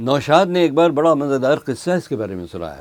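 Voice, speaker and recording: A man speaks with lively intonation. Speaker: radio announcer. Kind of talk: interview answer.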